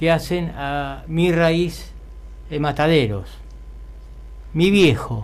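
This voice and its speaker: With long, frequent pauses, a man speaks at a very slow pace. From Buenos Aires, Argentina; Argentina. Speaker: poet. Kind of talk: poetry reading. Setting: studio. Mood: nostalgic, storytelling. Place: studio. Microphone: studio mic.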